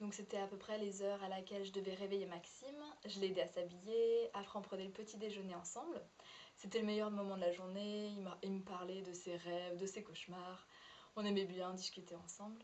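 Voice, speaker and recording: Audible room echo and noticeable background noise surround a woman talking at a fairly quick pace with fairly even intonation. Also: medium pitch for a woman. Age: 20s. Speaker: former au pair. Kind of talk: testimony. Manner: halting.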